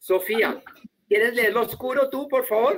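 A man with a German accent, moderate pace and ordinary pitch variation. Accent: Spanish sounds German-tinged. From Colombia. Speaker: German teacher. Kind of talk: online class. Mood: warm, friendly, joking. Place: home room.

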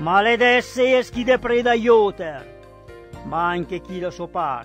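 A man's high-pitched voice with lively intonation at a very slow pace, with music in the background. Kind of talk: poetry reading.

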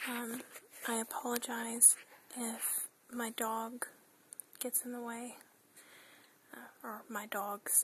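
Whispering at a very slow pace, the speaker leaves long, frequent pauses over light background noise. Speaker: hobby video maker. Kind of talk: ASMR show and tell. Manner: whispered. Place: home room. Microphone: phone near.

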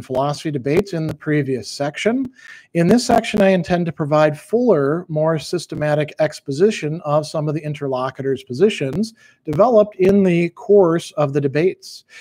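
Fairly quick speech from a man, quiet background behind him. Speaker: philosophy teacher. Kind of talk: reading aloud from own book. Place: home room.

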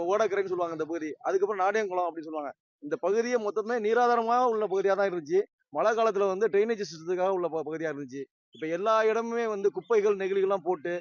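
This is a man's voice with a high pitch. It moves through ordinary pitch variation. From Tamil Nadu, Pattukkottai. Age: 50s. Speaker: local resident. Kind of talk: interview statement.

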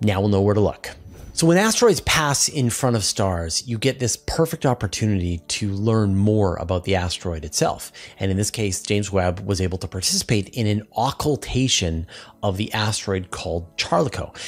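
Speaking at a moderate pace, a man uses a fairly low pitch. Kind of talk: science explainer commentary. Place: home room. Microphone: studio mic.

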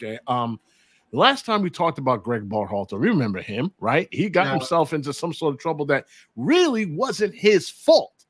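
Through a dry sound with no echo, a man's voice swings very widely in pitch. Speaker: podcast host. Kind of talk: podcast commentary. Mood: exasperated, opinionated. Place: home room.

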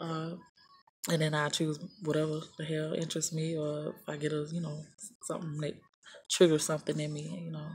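Against light background noise, a woman with an American accent and a very deep, low pitch speaks in monotone, flat intonation with long, frequent pauses. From US South. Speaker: YouTuber. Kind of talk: casual tutorial vlog. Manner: casual, hesitant with fillers. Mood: casual, a bit scattered. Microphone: phone near.

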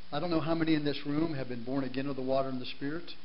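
With fairly even intonation, a man speaks at a fairly high pitch over light background noise. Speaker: guest preacher. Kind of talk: sermon. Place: church.

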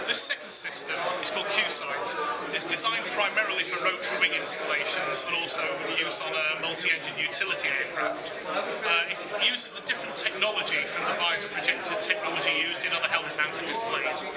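A man speaks fairly quickly, his pitch varying normally, with loud noise in the background. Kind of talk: product explanation interview. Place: hall. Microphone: phone near.

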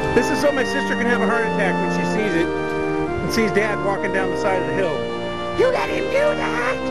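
Loud music plays in the background as the voice moves at a fairly quick pace. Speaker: family member filming. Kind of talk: casual conversation. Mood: joking, teasing. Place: open country. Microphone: phone near.

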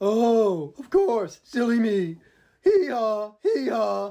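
In a cartoonish character voice, the speaker talks at a very slow pace with a fairly high pitch. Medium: puppet. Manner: timid.

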